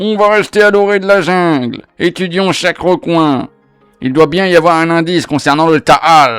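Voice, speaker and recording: A man uses a gruff, put-on character voice, high-pitched for a man, at a moderate pace with faint music in the background. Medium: read story. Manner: gruff, swearing.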